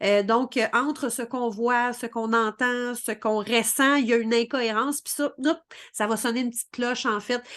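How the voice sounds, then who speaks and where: A woman with a Quebec accent speaks in a high pitch at a moderate pace. Her intonation is monotone and flat, and the background is quiet. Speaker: spiritual coach. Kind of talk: vlog explainer. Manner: many fillers and repetitions.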